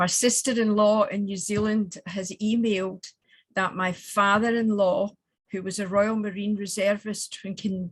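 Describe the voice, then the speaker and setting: A somewhat breathy woman's voice with a Scottish accent, monotone and flat, at a fairly slow pace. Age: 70s. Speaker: women's organisation regional president. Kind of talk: tribute message.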